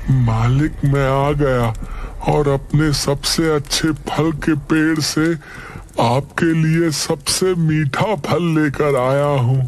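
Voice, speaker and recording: A man performs a cartoonish character voice at a fairly high pitch, speaking very slowly with very even loudness. There is clear background noise. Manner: deferential.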